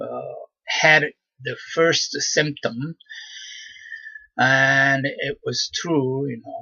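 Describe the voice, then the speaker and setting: With a Japanese accent, a man speaks at a very slow pace and a fairly high pitch. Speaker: vlogger. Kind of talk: personal monologue. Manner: halting, many fillers.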